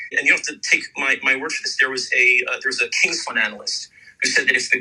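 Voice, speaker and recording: A man with an American accent at a very fast pace over noticeable background noise. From United States. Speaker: emergency doctor. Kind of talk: radio interview. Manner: animated.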